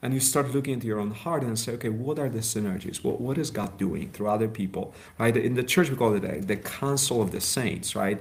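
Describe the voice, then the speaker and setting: Fairly quick delivery with hardly any pauses, ordinary pitch variation and audible room echo. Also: man, medium pitch for a man. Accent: Polish. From Poland. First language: Polish. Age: 40s. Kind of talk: interview. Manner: halting.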